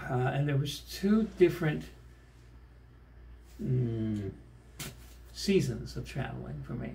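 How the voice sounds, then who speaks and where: In a room with audible echo, a man talks at a very slow pace with long, frequent pauses. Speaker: pianist. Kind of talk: casual chat. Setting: hotel room. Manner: soft-spoken.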